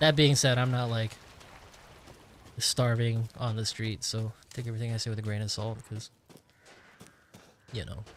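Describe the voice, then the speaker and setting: With an American accent, a man at a medium pitch speaks at a moderate pace with fairly even intonation and long, frequent pauses. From United States. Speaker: gaming streamer. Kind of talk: casual live-stream chat. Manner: rambling, halting with many fillers.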